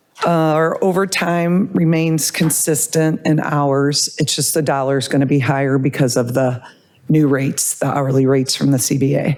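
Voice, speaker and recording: At a moderate pace, a woman with a very deep, low pitch and ordinary pitch variation keeps a very even loudness over noticeable background noise. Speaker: police department budget officer. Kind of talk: budget report at public meeting.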